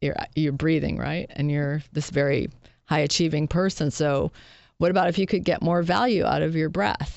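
At a moderate pace, a woman speaks in a very deep, low pitch with vocal fry, ordinary pitch variation and very even loudness. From Western Massachusetts. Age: 40s. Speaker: executive advisor. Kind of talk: interview. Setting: studio.

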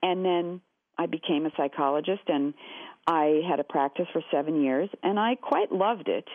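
With an American accent, a woman with a normal speaking voice talks at a moderate pace, her fairly low pitch showing ordinary variation and her loudness very even. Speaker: shapewear company founder, former actor and psychotherapist. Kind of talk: interview. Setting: phone call.

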